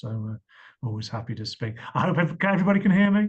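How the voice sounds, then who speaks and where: A man speaks with an English accent at a fairly quick pace. His voice is somewhat breathy. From England. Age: 50s. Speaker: medical device company founder pitching investors. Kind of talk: investor pitch Q&A on video call.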